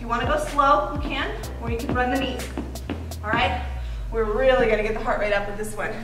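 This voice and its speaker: A woman is heard with audible room echo. Clear music plays in the background. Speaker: fitness instructor. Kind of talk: workout class instruction. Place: gym.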